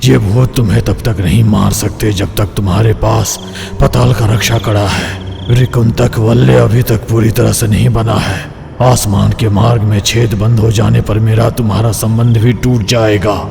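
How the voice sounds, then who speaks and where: Using a put-on character voice with a fairly low pitch, a man talks at a moderate pace and very even loudness over loud background noise. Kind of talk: mythic horror drama. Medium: audio drama. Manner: solemn, measured, ominous.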